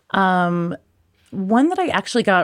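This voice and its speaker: A woman speaks at a fairly slow pace in a normal speaking voice, her pitch medium, with a dry, close sound without echo on a very clean recording against a silent background. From US Pacific Northwest. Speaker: bartender and spirits judge. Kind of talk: casual interview chat.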